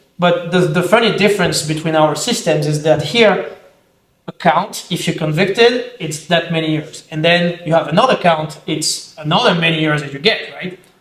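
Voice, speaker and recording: This man speaks in a French accent. His pitch is high. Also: ordinary pitch variation, moderate pace. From France. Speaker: self-defense instructor, army veteran. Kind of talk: casual discussion.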